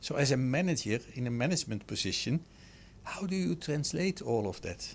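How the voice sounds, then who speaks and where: With lively intonation and some vocal fry, a man talks at a fairly quick pace in a medium pitch. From Netherlands. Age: 60s. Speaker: startup founder. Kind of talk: radio interview. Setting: radio studio.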